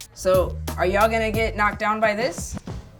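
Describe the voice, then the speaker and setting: Over music in the background, a woman with an American accent speaks at a moderate pace. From Los Angeles. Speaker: spoken word poet and history teacher. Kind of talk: classroom teaching.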